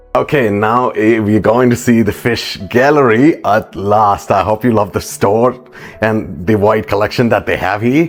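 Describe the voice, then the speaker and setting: Fairly slow speech with ordinary pitch variation and very even loudness over noticeable background noise. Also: man, fairly low pitch for a man. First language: Malayalam. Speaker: aquarium YouTuber. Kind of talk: vlog store tour.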